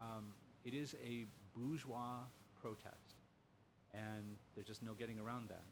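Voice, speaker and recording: With an American accent, a man speaks at a medium pitch and a fairly slow pace, leaving long, frequent pauses. His intonation is fairly even, and the room echo is audible. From US Midwest, Lima, Ohio. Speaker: professor, humanities center director. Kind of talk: casual interview conversation. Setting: in person.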